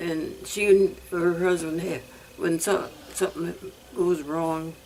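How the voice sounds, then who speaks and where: Against noticeable background noise, a woman speaks very slowly at a fairly low pitch in a monotone, flat intonation. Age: 90s. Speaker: elderly widow living alone. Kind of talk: interview. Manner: halting.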